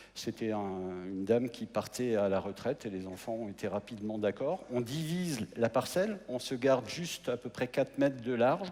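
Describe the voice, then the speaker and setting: At a moderate pace, a man talks with lively intonation and hardly any pauses. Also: medium pitch for a man. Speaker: mayor. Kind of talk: presentation on stage. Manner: hesitant, with repetitions.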